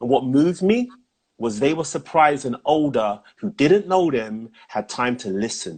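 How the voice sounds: A man's medium-pitched voice with a slightly husky edge, lively intonation and a fairly slow pace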